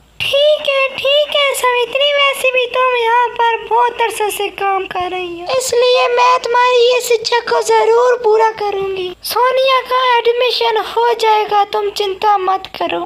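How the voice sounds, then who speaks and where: Over clear background noise, a woman puts on a cartoonish character voice at an extremely high pitch and a fairly slow pace. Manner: brisk, reassuring.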